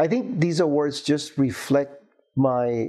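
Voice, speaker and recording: A man talks very slowly in a dark, mellow tone with fairly even intonation. The background is quiet. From Cuba. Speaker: materials science professor and university administrator; materials science professor. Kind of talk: oral history interview. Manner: hesitant with frequent fillers.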